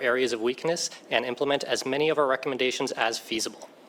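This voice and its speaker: A man speaks at a very fast pace in a medium-pitched voice with fairly even intonation, over noticeable background noise. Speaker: government cybersecurity auditor. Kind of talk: formal presentation at a legislative hearing. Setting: committee hearing room with microphone. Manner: loud; formal.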